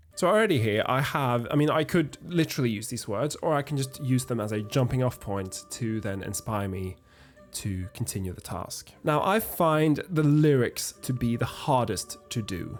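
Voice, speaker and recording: With music in the background, a man in a Norwegian accent talks at a moderate pace and medium pitch, his intonation lively. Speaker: music arranging educator. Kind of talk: tutorial. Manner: hesitant, with fillers.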